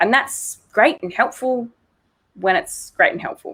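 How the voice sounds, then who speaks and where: At a fairly slow pace, a woman speaks in an Australian accent. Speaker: psychologist. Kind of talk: interview.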